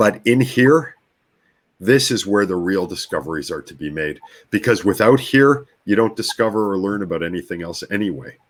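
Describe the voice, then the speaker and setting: An unremarkable speaking voice, this man's is fairly low, with a Canadian accent, a moderate pace, lively intonation and big swings in loudness. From Canadian prairies, Winnipeg. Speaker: brainwave technology practitioner. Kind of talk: interview conversation.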